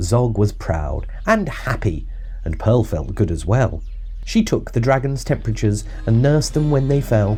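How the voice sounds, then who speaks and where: There is music in the background. A man speaks with lively intonation. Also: medium pitch for a man, moderate pace. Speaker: father reading a children's book aloud. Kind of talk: rhyming narration, storybook narrator. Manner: expressive.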